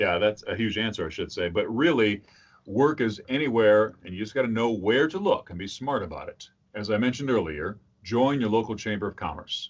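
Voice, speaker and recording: A man with an American accent talks at a fairly quick pace with ordinary pitch variation. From US Midwest (rural lower Michigan). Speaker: voice-over artist and voice coach. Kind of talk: interview.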